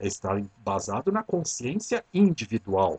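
Somewhat breathy, a man's voice moves through very wide pitch swings. The sound is dry and close, with no echo. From Brazil, São Paulo city. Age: 50s. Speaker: podcast host, transpersonal psychology. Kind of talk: reflective monologue.

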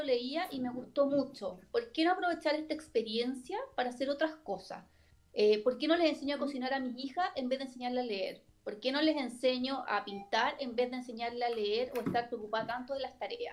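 Speaking with a Chilean accent, a woman uses lively intonation at a high pitch. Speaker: lawyer. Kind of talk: casual chat.

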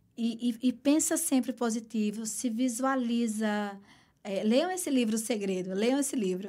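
In a Pernambuco accent, a woman with a dark, mellow tone speaks at a fairly slow pace on a very clean recording with a silent background. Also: ordinary pitch variation. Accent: Northeastern Brazilian (Pernambuco). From Caruaru, Pernambuco, Brazil (Northeast). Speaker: aesthetician and entrepreneur. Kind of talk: interview.

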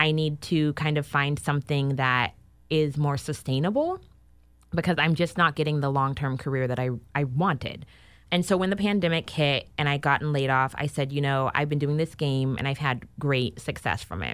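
A woman's very deep, low voice with an American accent, on a very clean recording with a silent background. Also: ordinary pitch variation, moderate pace. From US West Coast, Sacramento. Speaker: entrepreneur, game creator. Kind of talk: interview. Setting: studio.

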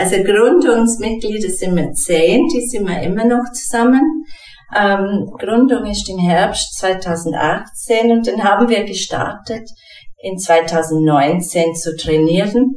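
With an English accent, a woman of medium pitch speaks at a very slow pace with lively intonation, amid noticeable background noise and audible room echo. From England. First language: English (speaking German). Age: 40s. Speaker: dance teacher and occupational therapist. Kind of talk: casual interview. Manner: hesitant, with fillers and repetitions.

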